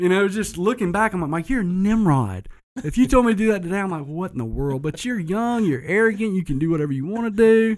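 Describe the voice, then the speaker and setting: The speaker talks at a very fast pace with lively intonation in a Southern US accent. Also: man, high pitch for a man. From US South, south Georgia. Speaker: entrepreneur, business owner. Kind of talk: casual interview chat.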